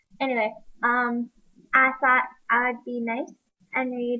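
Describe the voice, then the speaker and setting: Soft-spoken, a woman with a high voice talks at a fairly slow pace. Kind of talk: casual talk to camera. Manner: quiet, soft-spoken.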